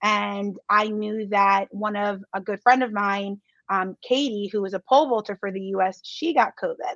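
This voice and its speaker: A woman with an American accent has a plain, everyday voice at medium pitch, with fairly even intonation and a fairly slow pace. The sound is dry and close with no echo, over a quiet background. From US. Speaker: Olympic athlete. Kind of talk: interview.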